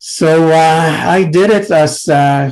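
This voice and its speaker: A man with a Mexican accent. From Mexico. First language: Spanish. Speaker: psychiatrist and researcher. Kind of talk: panel presentation. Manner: halting, many fillers.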